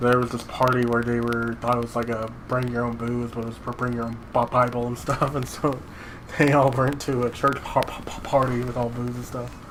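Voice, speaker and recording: Flat, monotone delivery at a fairly quick pace. Noticeable background noise and audible room echo are present. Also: man, medium pitch for a man. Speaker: gaming youtuber. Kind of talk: casual chat. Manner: halting.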